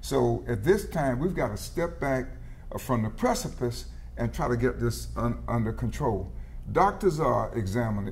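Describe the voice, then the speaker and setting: Audible room echo surrounds this recording. A man with an American accent talks at a moderate pace. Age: 70s. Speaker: legislator and former teacher. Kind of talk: political panel discussion. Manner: halting, frequent fillers.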